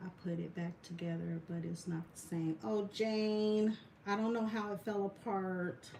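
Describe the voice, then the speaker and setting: Ordinary pitch variation marks this woman's ordinary speaking voice. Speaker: resin artist, military veteran. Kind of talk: live craft tutorial. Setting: livestream.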